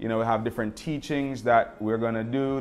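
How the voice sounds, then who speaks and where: Music plays in the background as a man with a Jamaican accent speaks at a fairly quick pace with ordinary pitch variation. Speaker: life coach. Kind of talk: motivational talk. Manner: animated; halting, many fillers.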